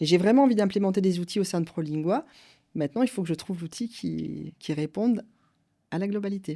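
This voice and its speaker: A woman speaks at a medium pitch with ordinary pitch variation, recorded very cleanly against a silent background. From France. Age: 50s. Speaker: company director. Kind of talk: interview. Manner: halting.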